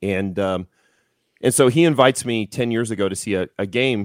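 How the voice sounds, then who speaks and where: An ordinary speaking voice with ordinary pitch variation, dry and close with no echo, on a very clean recording with a silent background. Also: man. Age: 40s. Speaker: strength coach and former professional strongman. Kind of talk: casual interview.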